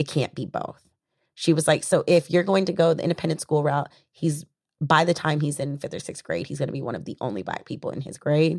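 With an American accent and a very deep, low pitch, a woman speaks at a fairly quick pace with ordinary pitch variation and big swings in loudness, in a dry, close sound with no echo. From US South. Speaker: community organizer and actress. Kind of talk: casual interview chat.

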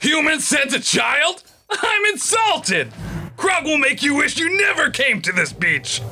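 Shouting in a put-on character voice, a man hits an extremely high pitch at a moderate pace. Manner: insulted, threatening.

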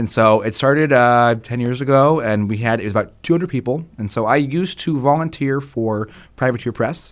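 A man talks at a fairly quick pace with hardly any pauses, his pitch medium and its variation ordinary. The recording is very clean, with a silent background. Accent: American. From US West Coast, San Diego. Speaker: board game marketing manager. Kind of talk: interview conversation.

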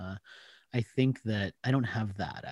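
Here a man with an American accent speaks at a moderate pace in an ordinary speaking voice, fairly low in pitch. His intonation is lively, and the sound is dry and close with no echo. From US, Washington DC area. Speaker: marketing author and trend expert. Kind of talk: interview conversation.

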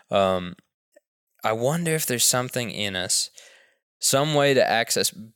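At a fairly slow pace, a man speaks in an unremarkable speaking voice with ordinary pitch variation. The recording is very clean, with a silent background. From US South (Texas/Tennessee). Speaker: hunter and journalist. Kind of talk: casual interview.

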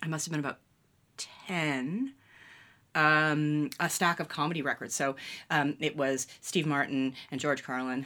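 In a Canadian accent, a woman with a very deep, low voice and a bright, sharp tone speaks with long, frequent pauses, recorded very cleanly with a silent background. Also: fairly even intonation, fairly slow pace. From Ontario, Canada (London, Ontario). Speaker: television writer. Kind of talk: casual interview.

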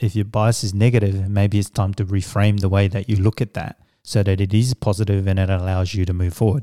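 A man speaks at a moderate pace in a fairly low pitch with a dark, mellow tone. The sound is dry and close with no echo, on a very clean recording with a silent background. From Samoa, then New Zealand from age 10. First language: Samoan. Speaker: executive coach and business consultant. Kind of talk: interview conversation. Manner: hesitant with fillers.

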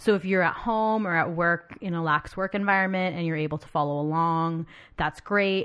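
Speaking in an ordinary speaking voice against a quiet background, a woman at a fairly low pitch keeps a moderate pace and fairly even intonation, with big swings in loudness. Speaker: podcast host. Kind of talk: casual chat. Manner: talkative, leads the discussion.

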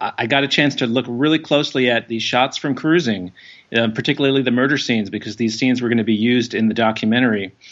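A man's medium-pitched voice keeps fairly even intonation as he talks at a very fast pace. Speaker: filmmaker. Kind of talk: casual chat. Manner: halting.

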